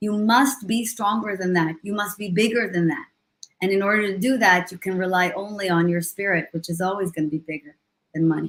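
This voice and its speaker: The pace is fairly quick, with an Israeli accent. Pitch varies in an ordinary way. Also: woman, medium pitch for a woman. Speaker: leadership coach and motivational speaker. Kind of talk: interview on a live stream. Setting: live video stream.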